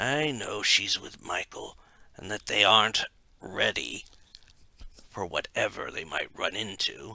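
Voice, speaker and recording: Raspy and fairly slow, a man performs a put-on character voice. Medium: read story.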